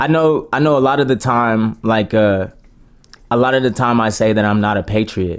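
A man with an American accent and an ordinary speaking voice talks at a moderate pace and medium pitch, with ordinary pitch variation and very even loudness. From US. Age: 20s. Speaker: podcast host. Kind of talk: casual chat.

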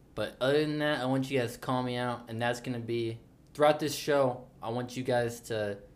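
A man talks at a fairly quick pace and a medium pitch, with noticeable background noise around him. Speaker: podcast co-host. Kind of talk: casual chat. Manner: animated.

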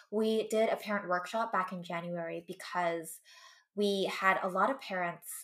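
The pitch of a woman's voice varies in an ordinary way. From US West Coast. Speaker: co-founder of an immigrant history education nonprofit. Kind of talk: podcast interview.

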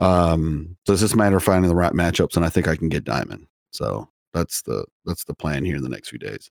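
At a fairly quick pace, a man with a very deep, low voice and vocal fry speaks with lively intonation, recorded dry and close with no echo. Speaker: podcast co-host. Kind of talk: casual chat. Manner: halting, rambling.

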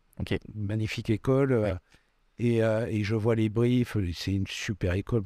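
A man's medium-pitched voice with a dark, mellow tone, fairly even intonation and a moderate pace, dry and close with no echo, over a quiet background. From Bordeaux, southwest France. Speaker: photographer. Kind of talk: casual interview. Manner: hesitant, many fillers.

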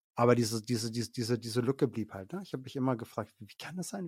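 A man talks at a very fast pace, medium in pitch with ordinary pitch variation. The recording is very clean, with a silent background. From Franconia, Germany (Middle Franconia). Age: 40s. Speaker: social worker and theology graduate. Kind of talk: casual interview, faith testimony. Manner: hesitant, many fillers.

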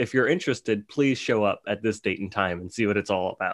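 A man's voice, an ordinary speaking voice, at a fairly quick pace with lively intonation against a quiet background. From New Orleans, Louisiana, later Dallas, Texas. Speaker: lighting designer. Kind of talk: casual interview. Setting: remote call.

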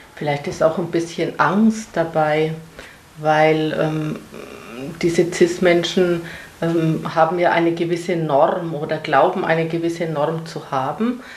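Speaking at a very slow pace with fairly even intonation, a woman with a fairly low pitch is heard amid noticeable background noise and audible room echo. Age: 60s. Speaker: mother of queer child, parent group member. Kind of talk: interview.

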